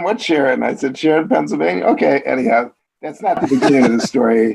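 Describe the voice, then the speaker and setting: Vocal fry runs through this man's speech in an American accent. He talks at a fairly quick pace with very wide pitch swings. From US Midwest, Chicago. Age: 60s. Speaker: columnist and biographer. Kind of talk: interview.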